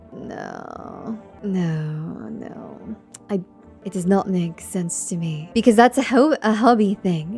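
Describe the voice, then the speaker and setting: A soft-spoken woman at a very slow pace, with big swings in loudness and music in the background. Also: medium pitch for a woman, ordinary pitch variation. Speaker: gaming ASMR streamer. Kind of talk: casual gameplay commentary, playthrough talk. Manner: soft-spoken, soothing.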